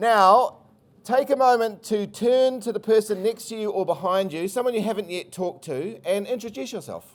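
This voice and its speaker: A man with a New Zealand accent speaks at a high pitch and moderate pace, his intonation lively. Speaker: country brand agency chief executive. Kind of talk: conference presentation. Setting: stage with audience.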